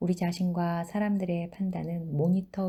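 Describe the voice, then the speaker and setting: A woman with a fairly low pitch and a dark, mellow tone speaks at a moderate pace, somewhat breathy. The recording is very clean, with a silent background. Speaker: book reading channel host. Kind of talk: reading aloud.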